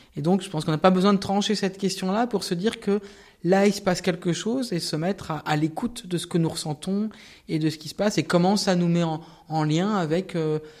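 Fairly even intonation carries speech at a moderate pace. The recording is very clean, with a silent background. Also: man. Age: 50s. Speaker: Protestant pastor and ecological activist. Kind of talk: interview testimony. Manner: hesitant, many fillers.

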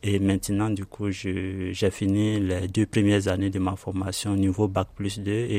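A man speaks in a fairly low voice at a fairly slow pace. His intonation is monotone and flat. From Ivory Coast. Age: 30s. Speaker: refugee, IT trainee. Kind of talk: testimony.

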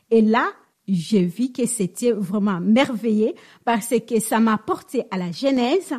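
Very slowly, a woman with a high pitch and a dark, mellow tone speaks with lively intonation on a very clean recording with a silent background. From DR Congo. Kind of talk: radio interview.

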